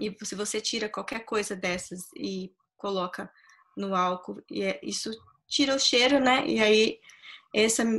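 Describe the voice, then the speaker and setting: A woman speaking at a fairly slow pace with ordinary pitch variation. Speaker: guest. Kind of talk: interview answer. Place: home room. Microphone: video call.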